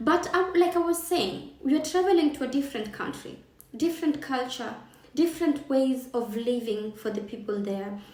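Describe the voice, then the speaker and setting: A voice with a Kenyan accent moves at a moderate pace with lively intonation. Noticeable background noise and audible room echo accompany it. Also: woman. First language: Kikamba. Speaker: travel and lifestyle vlogger. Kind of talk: casual vlog talk to camera.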